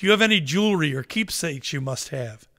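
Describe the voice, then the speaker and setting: Someone rattles off a put-on character voice at a very fast pace with very wide pitch swings. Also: man, fairly high pitch for a man. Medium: read story.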